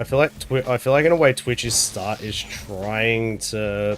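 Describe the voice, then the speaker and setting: With music behind him, a man's voice shows ordinary pitch variation. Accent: Australian. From Australia. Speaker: video game streamer. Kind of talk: casual chat. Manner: halting, with many fillers and restarts.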